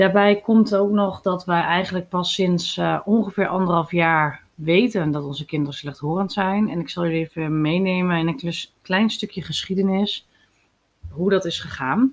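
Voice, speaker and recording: The clip has an ordinary speaking voice with ordinary pitch variation. It moves at a moderate pace. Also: woman, medium pitch for a woman. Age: 30s. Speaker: podcast host and mother. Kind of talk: personal monologue podcast.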